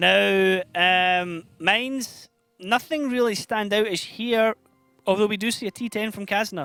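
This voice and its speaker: Over music in the background, a man with a Scottish accent raises and projects his high-pitched voice at a fairly slow pace, with ordinary pitch variation and a dry, close sound with no echo. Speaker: esports caster.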